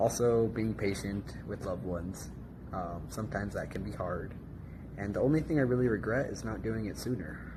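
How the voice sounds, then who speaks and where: Vocal fry runs through this man's fairly low, dark, mellow voice, with ordinary pitch variation and a fairly quick pace. Room echo is audible. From United States. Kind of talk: interview answers.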